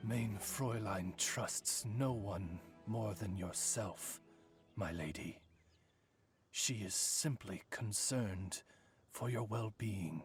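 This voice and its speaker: In a put-on character voice, a man with a fairly low pitch talks at a very slow pace with long, frequent pauses over faint music in the background. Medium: video game. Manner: formal, courtly.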